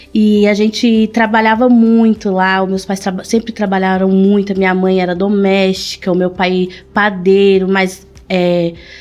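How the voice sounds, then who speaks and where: Amid noticeable background noise, a woman speaks fairly slowly at a medium pitch with monotone, flat intonation. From São Paulo, Brazil (born in Pernambuco). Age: 30s. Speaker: shoe business owner. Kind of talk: interview.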